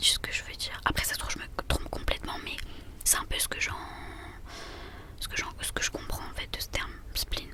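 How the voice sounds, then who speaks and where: Whispering at a fairly quick pace, a woman leaves long, frequent pauses amid noticeable background noise. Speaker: ASMR creator. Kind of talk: ASMR horoscope reading. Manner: whispered.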